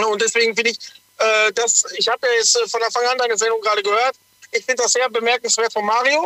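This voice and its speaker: Raised and projected, a man's extremely high voice races at a very fast pace with fairly even intonation and very even loudness, in a dry, close sound with no echo. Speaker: truck driver. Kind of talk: radio call-in.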